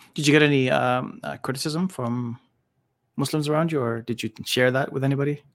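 A man with a Canadian accent and an unremarkable speaking voice, medium pitch, fairly even intonation and a fairly quick pace. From Canada, Sudanese family. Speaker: podcast host. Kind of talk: podcast interview. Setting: studio.

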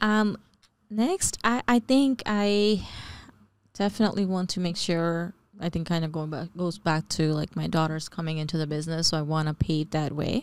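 Speaking at a moderate pace, a woman uses an ordinary speaking voice pitched fairly low. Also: ordinary pitch variation. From New Jersey (born in Bangladesh). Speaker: real estate investor. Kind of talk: casual chat.

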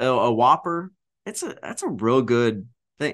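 Over a quiet background, a man talks at a moderate pace. His pitch swings very widely. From Arkansas. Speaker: podcast co-host, grain merchandiser. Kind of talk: casual chat. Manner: animated, laughs often.

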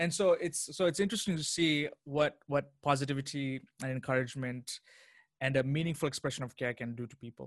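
Here is a man with an unremarkable speaking voice, fairly high in pitch with ordinary pitch variation. He talks at a fairly quick pace, and his loudness swings widely. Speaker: associate pastor and viral chai maker. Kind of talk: interview.

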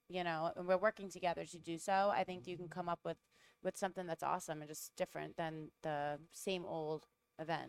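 A woman speaks in a Rhode Island accent at a fairly low pitch. Her intonation is fairly even, and the sound is dry and close with no echo. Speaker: cigar distributor rep.

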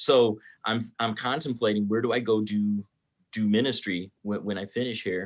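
Over a quiet background, a man with a plain, everyday voice speaks at a fairly low pitch and a moderate pace, his intonation fairly even. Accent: American. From Michigan (Detroit). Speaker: pastor. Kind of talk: casual chat.

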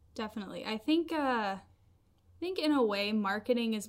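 On a very clean recording with a silent background, a woman speaks at a moderate pace with a slight Southern US accent. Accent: general American, little Southern. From Nashville, Tennessee. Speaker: copywriter. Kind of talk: casual interview chat.

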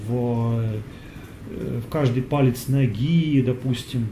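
At a very slow pace, a man with a medium pitch speaks amid audible room echo. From Russia. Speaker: yoga teacher. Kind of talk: Q&A talk. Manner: halting, with many fillers.

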